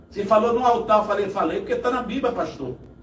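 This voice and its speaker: Noticeable background noise mixes with audible room echo throughout the clip. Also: man. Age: 60s. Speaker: evangelist. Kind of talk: testimony. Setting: live podcast studio.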